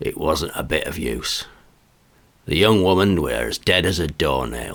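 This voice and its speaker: A raspy, put-on character voice moves at a moderate pace with lively intonation. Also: man, very deep, low pitch for a man. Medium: read story. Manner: chatty, colloquial.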